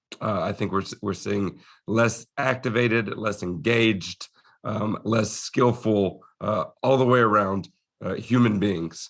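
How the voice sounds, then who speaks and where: Fairly low in pitch, a man speaks at a fairly slow pace. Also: fairly even intonation. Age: 30s. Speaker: strength coach and educator. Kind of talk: podcast interview. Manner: halting, many fillers.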